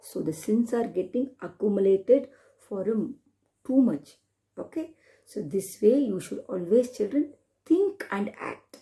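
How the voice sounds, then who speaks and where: A woman with a dark, mellow, somewhat breathy tone speaks at a fairly high pitch and a fairly slow pace. Her intonation is lively, and her loudness swings a lot. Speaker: storyteller. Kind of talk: children's storytelling with moral lessons.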